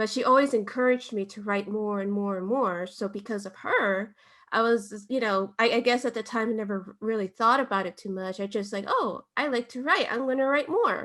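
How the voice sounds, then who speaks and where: A woman's fairly high-pitched voice with a Spanish accent. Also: ordinary pitch variation, fairly quick pace, hardly any pauses. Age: young. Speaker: writer and content creator. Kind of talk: interview. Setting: podcast.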